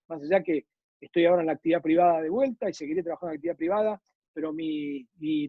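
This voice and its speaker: A man speaks at a fairly quick pace. His voice is high-pitched. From Argentina. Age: 60s. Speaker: former state railway executive. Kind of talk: interview conversation.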